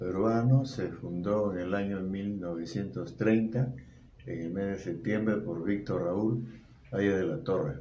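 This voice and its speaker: Speaking at a fairly slow pace, a man with a fairly low pitch is heard with audible room echo. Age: 70s. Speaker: interviewee, grandfather. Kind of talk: interview.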